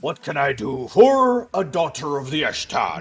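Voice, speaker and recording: A man's put-on character voice, fairly high-pitched, at a moderate pace over faint background music. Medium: virtual streamer. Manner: jovial, formal.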